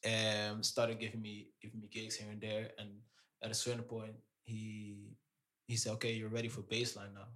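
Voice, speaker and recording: A man with a Dutch accent, a fairly low pitch, a bright, sharp tone, monotone, flat intonation and a moderate pace. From Amsterdam, Netherlands (Surinamese parents). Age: 30s. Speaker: DJ. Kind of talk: casual interview.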